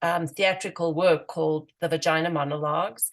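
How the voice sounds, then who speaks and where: A woman with a South African accent at a moderate pace. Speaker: activist and writer. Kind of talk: radio interview. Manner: hesitant, many fillers.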